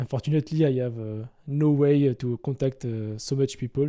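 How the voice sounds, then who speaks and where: Spoken with a non-native accent, the voice has a dark, mellow tone. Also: man. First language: French. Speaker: gaming YouTuber. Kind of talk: casual explainer to camera. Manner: halting, many fillers.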